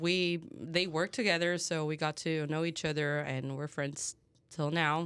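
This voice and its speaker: In a very clean recording with a silent background, a woman speaks with a Portuguese accent. Her voice is fairly low with a bright, sharp tone, fairly even intonation and a fairly slow pace. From Brazil. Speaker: head brewer. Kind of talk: casual chat.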